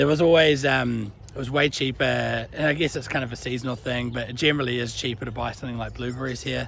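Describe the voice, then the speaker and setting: With a New Zealand accent, a man speaks at a very fast pace with hardly any pauses and fairly even intonation, over noticeable background noise. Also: medium pitch for a man. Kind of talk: casual talk to camera. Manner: casual, chatty.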